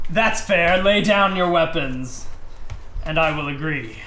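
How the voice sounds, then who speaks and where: Using a put-on character voice pitched high, a man talks at a fairly slow pace over clear background noise. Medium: actual play. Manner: smug, condescending.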